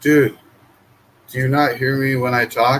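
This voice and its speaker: A man speaks at a fairly slow pace. His pitch sits in the middle range. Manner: calm, not hyper.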